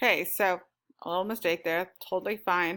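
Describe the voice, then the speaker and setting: A woman with an ordinary speaking voice talks at a medium pitch and moderate pace in a very clean recording with a silent background. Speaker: teacher. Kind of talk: lesson.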